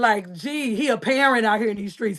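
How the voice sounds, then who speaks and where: Animated and lively in her intonation, a woman speaks with a Southern US accent at a fairly high pitch. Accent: sounds country, Southern. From Arkansas, US South. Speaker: Southern soul singer. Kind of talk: interview.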